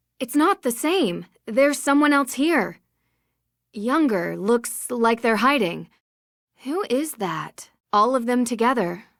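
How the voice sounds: In a put-on character voice, a woman speaks slowly at a fairly high pitch with a fairly bright tone and lively intonation, all in a very clean recording with a silent background.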